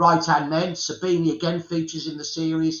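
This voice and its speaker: A man's high-pitched voice keeps a moderate speed. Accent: Birmingham. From England, Birmingham. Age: 60s. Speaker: historian. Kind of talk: interview.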